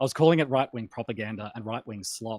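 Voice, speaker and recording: A man with an Australian accent talks at a very fast pace in a medium pitch, the sound dry and close with no echo. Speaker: political commentator. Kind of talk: casual chat. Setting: live stream.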